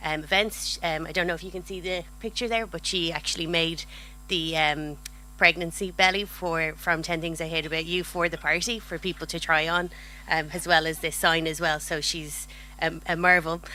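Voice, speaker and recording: A woman with an Irish accent speaks at a moderate pace, her fairly low voice flat and monotone. Audible room echo is present. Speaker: cinema marketing manager. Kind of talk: conference presentation.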